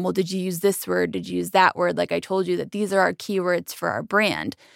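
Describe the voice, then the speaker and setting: Vocal fry comes through in a very clean recording with a silent background and a dry, close sound without echo. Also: woman. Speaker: account director, co-host. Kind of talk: casual chat. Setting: studio.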